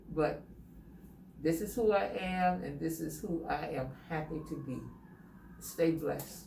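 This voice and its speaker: Through noticeable background noise, a woman talks at a fairly slow pace with long, frequent pauses. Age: 70s. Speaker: salon client. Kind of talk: interview answer.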